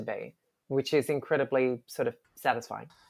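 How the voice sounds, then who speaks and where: Australian-accented female speaker. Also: very clean recording, silent background. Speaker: comic book artist. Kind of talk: interview.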